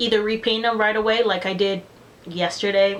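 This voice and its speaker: The woman has a Spanish accent. She talks at a moderate pace. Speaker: beauty vlogger. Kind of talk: casual vlog chat. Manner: casual, filler-heavy.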